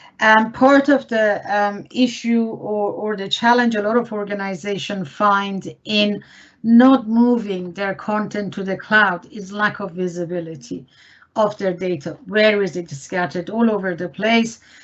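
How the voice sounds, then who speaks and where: An ordinary speaking voice at a fairly slow pace, with ordinary pitch variation. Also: woman, medium pitch for a woman. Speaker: IT services consultant. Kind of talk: webinar presentation.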